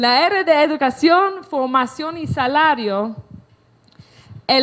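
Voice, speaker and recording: Speaking at a very slow pace, a woman's voice swings very widely in pitch. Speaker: author and lecturer. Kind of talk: lecture. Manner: halting.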